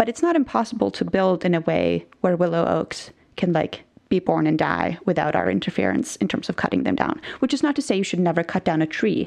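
Speaking at a fairly quick pace, a woman talks with a Norwegian accent. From Norway. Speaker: biblical scholar. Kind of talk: interview.

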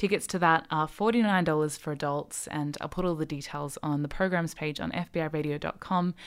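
The speech is at a moderate pace, in an Australian accent, with ordinary pitch variation. The recording is very clean, with a silent background. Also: woman. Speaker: radio host. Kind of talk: interview. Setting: radio studio.

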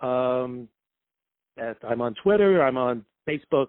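A man speaks in a New York accent. His pace is fairly slow. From New York City, Brooklyn. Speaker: sportswriter. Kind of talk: casual interview. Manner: halting, many fillers.

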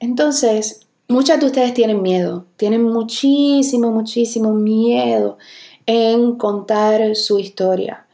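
Speaking at a very slow pace, a woman uses a fairly high pitch with a dark, mellow tone and very even loudness. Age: 30s. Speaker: podcast host and business coach. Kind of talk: solo podcast business tutorial. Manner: animated.

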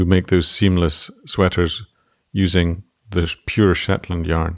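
A man with a Scottish accent, very deep and low in pitch, at a moderate pace with fairly even intonation, in a dry, close sound with no echo. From Scotland. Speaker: textile designer. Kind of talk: casual chat.

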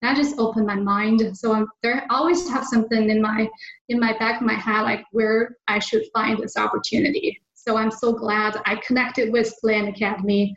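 In a Chinese accent, a woman speaks at a moderate pace with a fairly high, somewhat breathy voice. Her intonation is fairly even and her loudness very even. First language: Mandarin Chinese. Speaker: land investor. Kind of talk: interview. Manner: halting.

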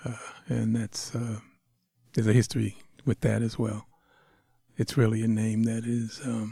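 Pausing long and often at a moderate pace, a man speaks in a monotone, flat way with a dark, mellow, somewhat breathy tone at a medium pitch. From Boston area. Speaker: writer with a doctorate, podcast guest. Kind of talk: interview conversation.

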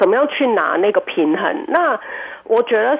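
Against noticeable background noise, a woman with a Cantonese accent speaks with very wide pitch swings. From Hong Kong. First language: Cantonese (speaking Chinese). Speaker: restaurant owner and cook. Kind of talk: radio interview. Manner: hesitant, many fillers.

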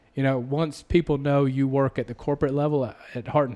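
A man with a slight Southern US accent speaks fairly quickly at medium pitch, in a dark, mellow tone. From US South. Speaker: podcast host. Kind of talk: casual interview.

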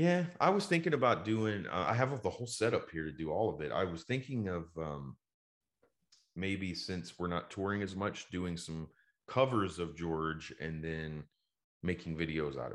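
With an American accent, the speaker keeps a moderate pace and lively intonation over a quiet background. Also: man, very deep, low pitch for a man. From Dallas, Texas. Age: 40s. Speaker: toy store owner and touring singer. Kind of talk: casual interview chat. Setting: video or remote call.

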